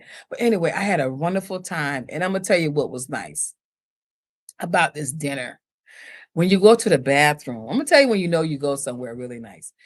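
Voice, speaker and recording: Very fast and animated, a woman with a very deep, low voice speaks with lively intonation and big swings in loudness over a quiet background. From US South. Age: 60s. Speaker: fashion designer. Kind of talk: casual chat. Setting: live stream.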